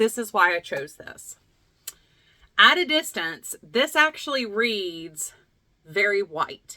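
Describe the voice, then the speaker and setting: A woman with a Southern US accent speaks at a medium pitch in a bright, sharp tone, recorded dry and close with no echo. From US South, Lexington, North Carolina. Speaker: craft video host. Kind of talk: casual vlog chat. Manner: animated.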